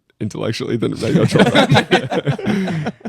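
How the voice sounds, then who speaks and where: A man at a moderate pace with an Australian accent. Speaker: college football punter. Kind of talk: casual chat. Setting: studio with live audience.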